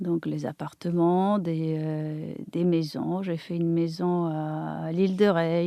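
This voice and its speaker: Against a quiet background, a woman talks in a fairly low pitch with a dark, mellow tone and flat, monotone intonation. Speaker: architect and interior designer. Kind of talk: interview. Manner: halting.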